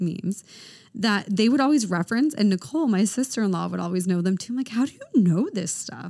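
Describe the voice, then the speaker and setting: At a fairly quick pace, a woman speaks at medium pitch in a dark, mellow, somewhat breathy tone, her intonation lively. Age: 30s. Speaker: podcast co-host. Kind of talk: casual chat. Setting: studio.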